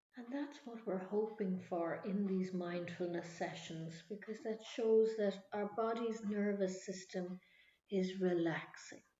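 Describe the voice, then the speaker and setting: Soft-spoken, a woman with an Irish accent talks fairly slowly at a medium pitch with ordinary pitch variation. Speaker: mindfulness instructor. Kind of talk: guided meditation.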